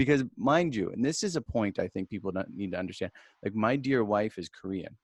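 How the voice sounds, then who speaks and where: Over a quiet background, a man with an ordinary speaking voice talks at a fairly quick pace and medium pitch, the sound dry and close with no echo. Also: lively intonation. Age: 40s. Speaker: podcast host. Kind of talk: interview.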